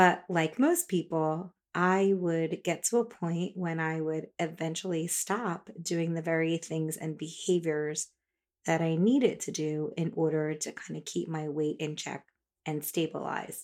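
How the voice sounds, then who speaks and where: A plain, everyday voice at a fairly slow pace with fairly even intonation, in a very clean recording with a silent background. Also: woman, fairly low pitch for a woman. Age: 40s. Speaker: dietitian and podcast host. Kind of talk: solo podcast monologue. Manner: casual, conversational.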